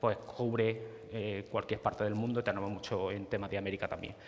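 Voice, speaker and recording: The man talks at a very fast pace. His medium-pitched voice is monotone, with flat intonation. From Spain, Córdoba (Andalusia). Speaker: GIS consultant presenting at a tech talk. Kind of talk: conference presentation. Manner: halting, many fillers and repetitions.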